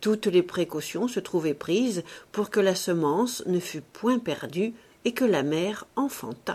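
Lively intonation runs through the speech. The speaker is reading aloud in a natural voice.

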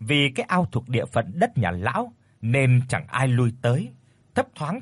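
Someone reads the text aloud in a natural voice.

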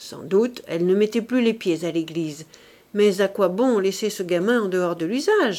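A natural reading voice showing ordinary pitch variation

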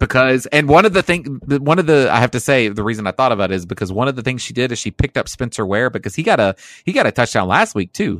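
Very fast, with hardly any pauses, a man talks in an animated tone with lively intonation. The sound is dry and close with no echo, over a quiet background. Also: medium pitch for a man. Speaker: co-host. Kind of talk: casual banter podcast. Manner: joking, animated.

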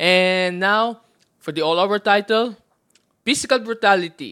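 A man in an animated tone at a fairly slow pace, with ordinary pitch variation and a very clean recording against a silent background. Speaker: wrestling fan podcast guest. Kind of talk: casual chat.

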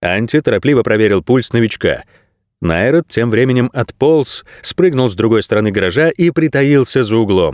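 Someone reads aloud in a natural voice, with little noise behind them.

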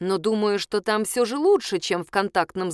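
A natural reading voice delivers the words with lively intonation.

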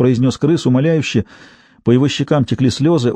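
Here someone does plain reading aloud.

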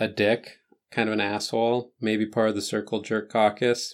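A man speaks in a monotone. His pace is fairly slow and his intonation flat. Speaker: podcast host. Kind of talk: casual solo podcast. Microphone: new microphone with a slight buzz.

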